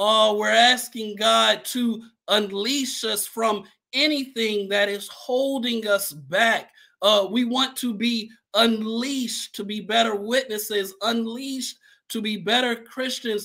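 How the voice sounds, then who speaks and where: A man's raised, projected voice, bright and sharp in tone, with fairly even intonation at a very slow pace. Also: quiet background. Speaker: church host welcoming viewers. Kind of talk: livestream welcome announcements. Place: home room. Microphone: webcam.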